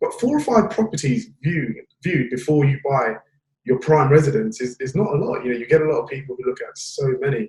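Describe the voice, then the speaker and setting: Pitch swinging very widely, a man with a fairly high pitch talks at a fairly quick pace. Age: young. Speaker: podcast host. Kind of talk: interview.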